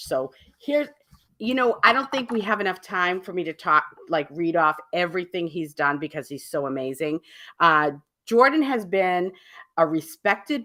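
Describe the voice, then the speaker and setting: In a Boston accent, a woman speaks at a moderate pace with a fairly low pitch, a bright, sharp tone and lively intonation. The recording is very clean, with a silent background. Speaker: radio talk show host. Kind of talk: radio show host introduction.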